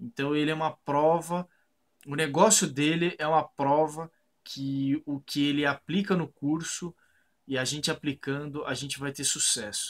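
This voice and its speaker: A fairly high-pitched man, fairly slow, with fairly even intonation. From Brazil, Sorocaba (São Paulo state). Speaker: architect and online course student. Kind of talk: customer testimonial. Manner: hesitant, with fillers and repeated words. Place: home room. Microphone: webcam.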